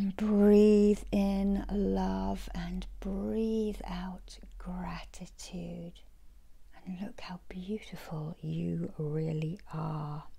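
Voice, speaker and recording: A gentle, soothing tone at a very slow pace against a quiet background. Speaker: Reiki healer and oracle card reader. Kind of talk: guided meditation. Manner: slow, soothing, calm; gentle, repetitive, dreamy. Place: home room. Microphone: phone near.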